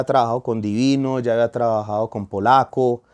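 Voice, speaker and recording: The background is quiet as a man speaks. His pace is moderate, his pitch variation ordinary. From Colombia. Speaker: urban music singer; guest. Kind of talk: interview. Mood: warm, animated storytelling. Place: studio. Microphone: lapel.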